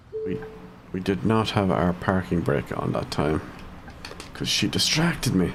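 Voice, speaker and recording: Over noticeable background noise, a man with an Irish accent speaks fairly slowly in a very deep, low pitch, with very wide pitch swings and long, frequent pauses. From Ireland, County Cavan. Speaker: gaming streamer. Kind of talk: live gameplay commentary. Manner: casual, thinking aloud.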